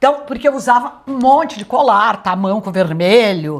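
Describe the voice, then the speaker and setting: Loud and fairly slow, a woman speaks at a fairly high pitch that swings very widely. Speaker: retired TV executive and journalism teacher. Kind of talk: interview.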